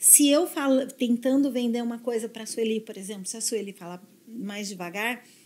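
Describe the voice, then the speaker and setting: A woman with an ordinary speaking voice talks at a moderate pace, fairly high in pitch with ordinary pitch variation. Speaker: neuro-linguistic programming specialist. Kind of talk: podcast interview. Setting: studio.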